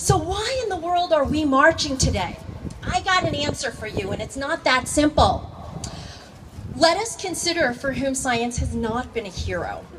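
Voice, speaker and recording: Noticeable background noise sits behind the voice. Delivery is fairly slow. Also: woman. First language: not English. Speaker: high school teacher. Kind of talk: rally speech.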